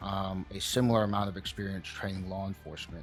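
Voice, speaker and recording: With music in the background, a man speaks at a fairly low pitch in a monotone, flat intonation. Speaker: martial arts interviewer. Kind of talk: introduction to camera.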